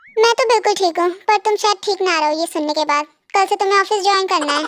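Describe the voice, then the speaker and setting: Very fast and pitched extremely high, a woman's put-on character voice comes through at very even loudness, with a dry, close sound and no echo. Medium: read story. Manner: domineering, dry.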